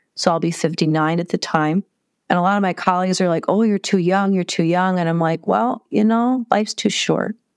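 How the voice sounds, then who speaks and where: Against a quiet background with a dry, close sound and no echo, a woman with a plain, everyday voice speaks fairly quickly at a medium pitch with ordinary pitch variation. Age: 50s. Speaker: heart surgery patient. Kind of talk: interview storytelling.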